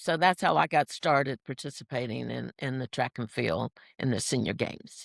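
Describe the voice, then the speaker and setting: A woman with an American accent at a moderate pace, in a very clean recording with a silent background. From US, Washington DC. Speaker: senior track athlete. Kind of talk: interview.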